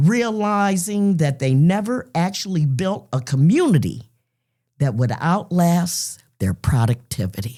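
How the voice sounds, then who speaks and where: In an American accent, the speaker uses very wide pitch swings at a fairly slow pace, the tone dark and mellow, on a very clean recording with a silent background. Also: woman, fairly low pitch for a woman. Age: 60s. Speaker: podcast host, retired journalist. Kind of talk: casual podcast chat. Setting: live broadcast.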